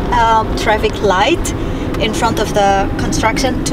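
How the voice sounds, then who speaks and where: Loud background noise surrounds a woman speaking at a very slow pace. The sound is dry, with no echo. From Indonesia. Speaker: vlogger. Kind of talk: casual talk to camera while driving. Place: car. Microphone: camera far.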